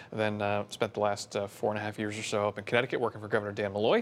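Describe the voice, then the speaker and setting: Speaking at a very fast pace, the man has a fairly low pitch. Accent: American. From New Jersey. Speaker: state economic development official. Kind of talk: interview. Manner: hesitant, many fillers.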